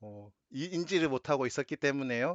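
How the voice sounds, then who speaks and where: Ordinary pitch variation marks the man's fairly high voice as he moves at a moderate pace. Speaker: tax accountant and channel host. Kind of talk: client interview.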